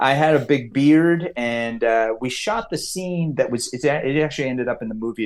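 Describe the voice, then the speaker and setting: A man with a Californian accent at a moderate pace, with hardly any pauses and ordinary pitch variation. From US West, California (Lake Tahoe). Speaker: comics writer and screenwriter. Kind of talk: podcast interview. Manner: halting, many fillers and restarts.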